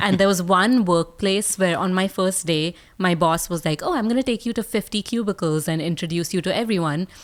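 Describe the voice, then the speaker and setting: A woman with an Indian accent speaks at a moderate pace and medium pitch, with ordinary pitch variation. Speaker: speaker and communication coach. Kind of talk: podcast interview. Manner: animated.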